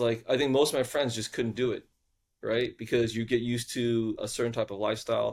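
A man with an American accent and an ordinary speaking voice talks at medium pitch and a fairly quick pace, his intonation fairly even, on a very clean recording with a silent background. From US South (Houston, Texas). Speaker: venture capitalist. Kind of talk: interview conversation.

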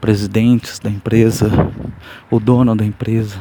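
Speaking in a flat monotone, a man keeps a medium pitch and a moderate pace. There is noticeable background noise. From São Paulo state, Brazil. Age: 30s. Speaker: podcaster. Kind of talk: casual monologue. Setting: outdoors on the street. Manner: soft-spoken.

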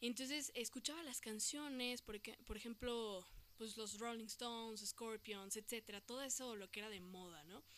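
Ordinary in pitch variation and fairly high in pitch, a woman with a Mexican accent speaks at a moderate pace. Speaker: podcast host. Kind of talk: casual monologue. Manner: animated.

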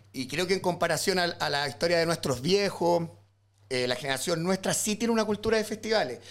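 This man speaks at a fairly quick pace with lively intonation. His pitch is high for a man. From Chile, rural O'Higgins region. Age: 30s. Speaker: illustrator and visual artist. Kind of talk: casual chat.

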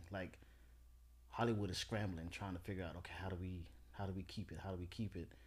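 A man's very deep, low voice with vocal fry, at a very fast pace with long, frequent pauses and ordinary pitch variation. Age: 30s. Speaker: military veteran and film producer. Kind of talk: casual chat.

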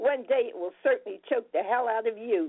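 A woman with an ordinary speaking voice talks at a fairly slow pace with ordinary pitch variation. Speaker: poet. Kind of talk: poetry reading.

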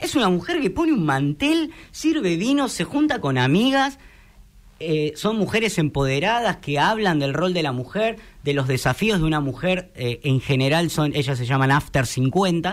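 A high-pitched man with a Rioplatense accent, very wide pitch swings and a fairly slow pace. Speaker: radio broadcaster. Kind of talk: interview.

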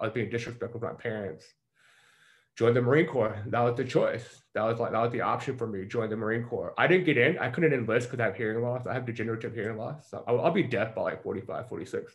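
Somewhat breathy and at a medium pitch, a man with a Southern US accent talks at a very fast pace. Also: ordinary pitch variation. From US South, Mississippi. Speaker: performance coach. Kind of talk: casual interview.

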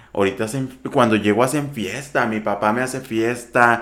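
A man speaks at a moderate pace with an ordinary speaking voice at medium pitch. His intonation stays fairly even. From Sonora, Mexico (ejido near Empalme). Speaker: TV and radio presenter. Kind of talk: casual interview.

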